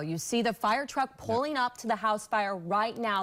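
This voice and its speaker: A woman's voice with music in the background. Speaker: television news anchor. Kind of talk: broadcast news anchor delivery. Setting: studio news desk.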